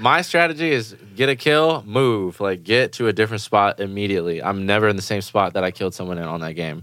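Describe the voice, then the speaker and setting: A man with a fairly low pitch talks at a very fast pace with lively intonation and hardly any pauses, in a very clean recording with a silent background. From Germany. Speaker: rapper and producer. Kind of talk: casual chat.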